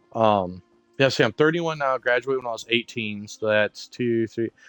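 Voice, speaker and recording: Music plays in the background as a man at a medium pitch talks with ordinary pitch variation, the sound dry and close with no echo. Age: 30s. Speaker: gaming streamer. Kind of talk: casual chat.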